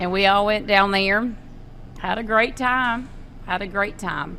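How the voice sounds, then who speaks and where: A woman with a Kentucky accent talks at a fairly slow pace amid noticeable background noise and audible room echo. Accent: Kentucky Southern. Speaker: podcast co-host. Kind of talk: casual chat.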